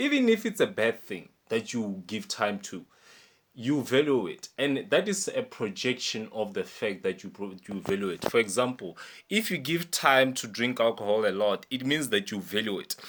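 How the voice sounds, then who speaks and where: A man speaks at a moderate pace and a medium pitch, his pitch swinging very widely. The recording is very clean, with a silent background. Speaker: life coach. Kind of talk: motivational talk. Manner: stumbles a little over words.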